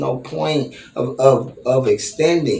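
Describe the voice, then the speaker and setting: Noticeable background noise sits behind a man's voice. He speaks at a medium pitch in an animated tone. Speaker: sports fan vlogger. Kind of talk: fan reaction commentary.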